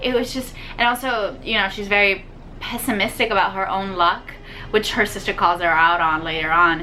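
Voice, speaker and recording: There is noticeable background noise and audible room echo around this woman's voice. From Puerto Rico. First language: Spanish. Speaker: book youtuber. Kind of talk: casual book review vlog. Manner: casual, many filler words (um, like).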